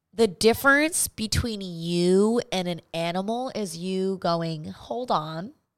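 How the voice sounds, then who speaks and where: A woman speaks very slowly at medium pitch with lively intonation. The recording is very clean, and the background is silent. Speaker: podcast co-host. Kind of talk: casual chat.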